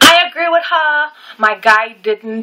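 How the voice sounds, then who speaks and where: A woman's voice with ordinary pitch variation, over noticeable background noise. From Trinidad. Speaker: vlogger. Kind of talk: casual vlog talk to camera. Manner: casual, conversational with fillers.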